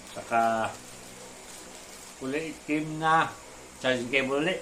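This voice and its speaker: Fairly slow speech from a man at a medium pitch, audible room echo around it. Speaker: drone hobbyist vlogger. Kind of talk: unboxing tutorial. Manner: stuttering, halting.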